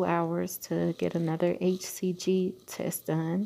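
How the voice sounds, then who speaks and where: The voice is quiet, with a dark, mellow tone. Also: woman. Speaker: vlogger, night shift nurse. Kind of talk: personal vlog update. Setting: at work during night shift, hospital. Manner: quiet, talking low; hesitant, many fillers.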